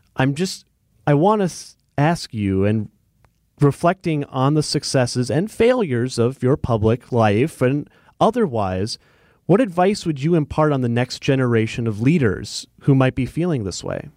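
A man with a plain, everyday voice talks at a moderate pace and medium pitch, his intonation lively. The sound is dry and close with no echo, and the recording is very clean with a silent background. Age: 30s. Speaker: radio host. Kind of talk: interview. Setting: studio.

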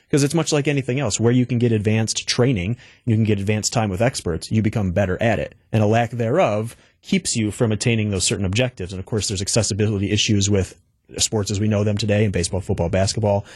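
Talking at a very fast pace, a man with a fairly low pitch sounds somewhat breathy and uses ordinary pitch variation. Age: 30s. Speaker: esports entrepreneur. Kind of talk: interview. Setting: radio studio.

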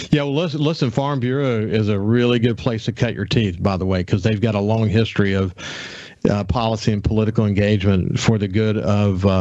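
Speaking in a Southern US accent at a fairly quick pace, a man with fairly low pitch and ordinary pitch variation comes through noticeable background noise. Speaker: radio host. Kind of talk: radio interview. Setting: studio.

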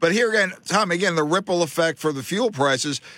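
This man speaks very fast in a fairly high pitch with lively intonation. His tone is bright and sharp. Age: 60s. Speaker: radio host. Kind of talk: talk radio show. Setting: studio. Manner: animated.

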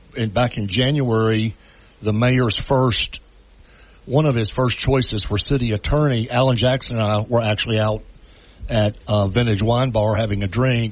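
A man with a normal speaking voice, medium-pitched, fairly even intonation, moderate pace. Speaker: city council member. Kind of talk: radio interview. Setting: phone call.

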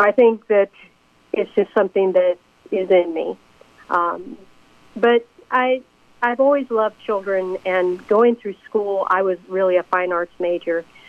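Pausing often and at length, a woman of medium pitch talks at a fairly slow pace with ordinary pitch variation. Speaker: music educator and former school principal. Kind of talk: casual interview. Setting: speakerphone call.

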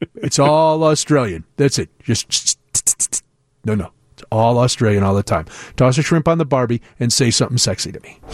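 An animated man with a Chicago accent, lively intonation, big swings in loudness and a moderate pace. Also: medium pitch for a man. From US Midwest. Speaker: radio host. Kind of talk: casual chat. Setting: studio.

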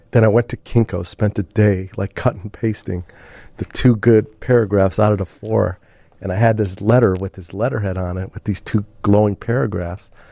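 A man with an American accent speaks at a moderate pace in a dark, mellow tone, his intonation fairly even and the sound dry and close with no echo. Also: fairly low pitch for a man. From Chicago suburbs (Mount Prospect), US Midwest. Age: 50s. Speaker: film producer. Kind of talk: casual interview chat.

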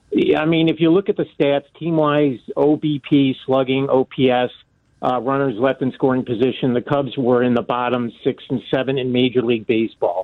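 With an American accent, a man speaks in a plain, everyday voice at medium pitch, with ordinary pitch variation and a moderate pace. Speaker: caller. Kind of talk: call-in sports talk radio. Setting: phone call.

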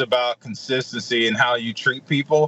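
In a Mississippi accent, a man speaks at a medium pitch and a moderate pace. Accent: US Southern (Mississippi). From Mississippi (Edwards, rural farm). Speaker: chef. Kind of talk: radio interview.

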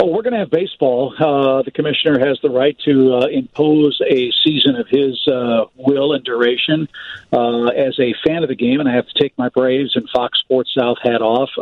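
Against noticeable background noise, a man with an American accent speaks at a moderate pace and medium pitch, with fairly even intonation and hardly any pauses. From US Midwest, St. Louis. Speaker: baseball broadcaster. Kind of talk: radio interview.

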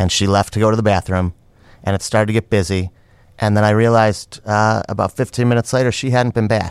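On a very clean recording with a silent background, a man talks at a very fast pace with fairly even intonation and very even loudness. His fairly low voice has a dry, close sound with no echo. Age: 40s. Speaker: restaurant and comedy theater owner. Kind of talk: casual chat. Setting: studio.

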